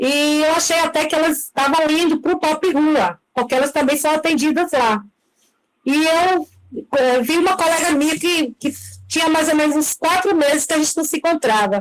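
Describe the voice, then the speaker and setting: A high-pitched woman's voice at a moderate pace, with very even loudness and ordinary pitch variation. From Brazil, Bahia (Salvador). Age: 50s. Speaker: sex worker, participant. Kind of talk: testimony in an online debate. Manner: halting.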